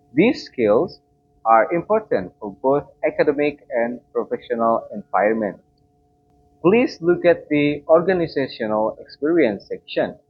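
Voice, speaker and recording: Here a man speaks with an Indonesian accent. His pace is fairly slow. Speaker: student. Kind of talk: class presentation. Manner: formal.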